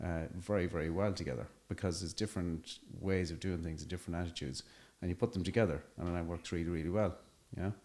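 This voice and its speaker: A man talks at a very fast pace in an Irish accent. His very deep, low voice keeps a fairly even intonation. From Ireland. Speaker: construction entrepreneur. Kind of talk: podcast interview. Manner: hesitant, many fillers.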